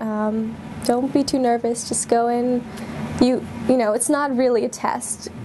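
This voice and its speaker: A high-pitched woman's voice with monotone, flat intonation, over noticeable background noise. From India. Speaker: university undergraduate. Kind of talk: interview answer.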